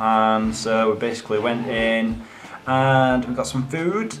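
A man with ordinary pitch variation, over noticeable background noise. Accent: Yorkshire. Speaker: gaming YouTuber and vlogger. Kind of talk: casual vlog. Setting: in a car. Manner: animated.

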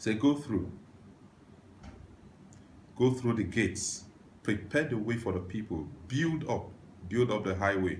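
Somewhat breathy, a man talks at a fairly slow pace with ordinary pitch variation and long, frequent pauses over light background noise. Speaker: preacher. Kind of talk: sermon scripture reading. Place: home room.

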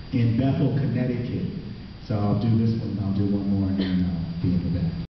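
A man talks at a fairly quick pace amid light background noise and strong room echo. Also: ordinary pitch variation. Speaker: slam poet and high school theater teacher. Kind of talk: spoken word performance intro, casual talk to audience. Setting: live stage with audience. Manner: casual, rambling, humorous. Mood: humorous, storytelling. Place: stage.

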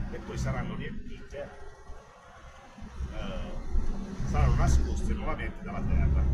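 A man talks at a fairly slow pace with long, frequent pauses over loud background noise. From Apulia, Italy. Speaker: truck driver. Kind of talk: casual talk to camera. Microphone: phone near.

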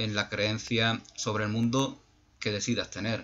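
A man's medium-pitched voice over light background noise. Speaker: YouTube channel host, spiritual speaker; YouTube channel host, speaker. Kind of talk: reflective monologue. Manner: halting, many repetitions and fillers. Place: home room. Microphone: webcam.

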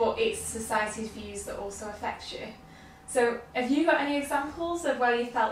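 With audible room echo and light background noise, a woman talks at a moderate pace. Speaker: interviewer and educator. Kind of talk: casual interview. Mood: warm, engaged, animated. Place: home room.

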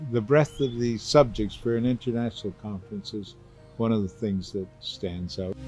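Over faint background music, the speech holds a moderate pace with ordinary pitch variation and a dry sound with no echo. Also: man. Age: 80s+. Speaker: chemist, Nobel laureate. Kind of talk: interview answer. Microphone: handheld.

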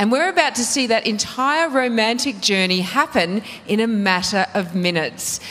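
A woman with an Australian accent, an animated tone, very wide pitch swings, and a moderate pace. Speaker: reality TV show host. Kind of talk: TV presenting. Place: studio. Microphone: handheld.

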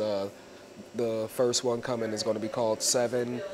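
A man speaks with an American accent in a flat, monotone delivery. There is noticeable background noise behind him. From US Northeast (New Jersey). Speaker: musician and rapper. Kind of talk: casual interview. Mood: relaxed, enthusiastic. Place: studio. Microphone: lapel.

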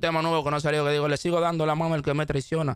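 Here a man is speaking. The sound is dry with no echo over a quiet background. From Dominican Republic, Santo Domingo; Dominican Republic. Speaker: rapper; interview guest. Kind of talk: interview. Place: studio. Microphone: studio mic.

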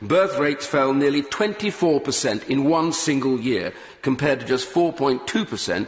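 A man talks with very wide pitch swings. Audible room echo surrounds his voice. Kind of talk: parliamentary speech. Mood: grave, emphatic. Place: hall.

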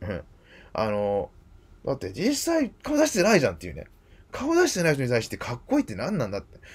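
A man is speaking. His pace is fairly quick. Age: 40s. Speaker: YouTuber; video blogger. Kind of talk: monologue. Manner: halting. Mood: earnest, somewhat aggrieved. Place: home room. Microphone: webcam.

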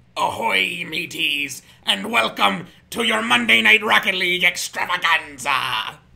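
Putting on a character voice, a man speaks at a moderate pace with a fairly high pitch that swings very widely. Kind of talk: theatrical host patter.

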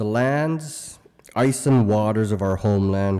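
Speaking at a fairly slow pace, a man uses a fairly low pitch and a dark, mellow tone. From Canadian high Arctic (Resolute Bay, Nunavut); Nunavut, Canada. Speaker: keynote speaker. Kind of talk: keynote speech. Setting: conference stage with audience. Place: hall. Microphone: podium.

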